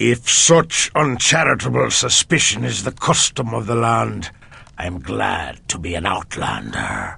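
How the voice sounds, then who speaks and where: Performed as a put-on character voice, the delivery moves at a moderate pace with very wide pitch swings. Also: man, very deep, low pitch for a man. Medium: video game. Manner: haughty, contemptuous.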